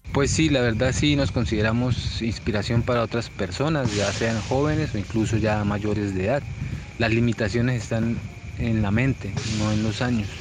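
Amid noticeable background noise and audible room echo, a man talks at a moderate pace and medium pitch, with ordinary pitch variation and very even loudness. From Colombia, Piedecuesta, Santander. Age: 40s. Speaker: entrepreneur, steel products maker. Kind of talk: interview testimony. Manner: halting, with fillers.

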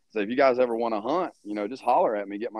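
Talking at a very fast pace, a man speaks with an American accent. His pitch is medium, with ordinary variation. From Louisiana. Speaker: hunting outfitter. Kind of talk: casual chat.

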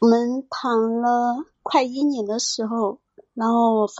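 The voice belongs to a woman and sits fairly high in pitch. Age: 30s. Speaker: caller. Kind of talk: personal story on call-in show. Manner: halting.

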